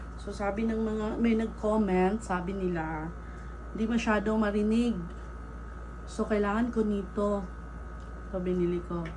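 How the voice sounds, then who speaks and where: A woman speaks at a fairly slow pace, leaving long, frequent pauses. Audible room echo surrounds her voice. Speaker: YouTuber and stray cat rescuer. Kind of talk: casual unboxing vlog.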